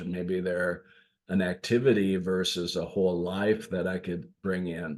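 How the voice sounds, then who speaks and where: A man with a northern US accent speaks in a very deep, low pitch. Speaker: leadership coach. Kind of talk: podcast monologue. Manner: casual, with fillers.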